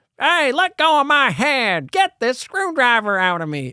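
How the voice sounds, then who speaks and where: Shouting in a put-on character voice, a female-sounding speaker swings her high pitch very widely, captured in a very clean recording with a silent background. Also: moderate pace. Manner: goofy, shouting, protesting.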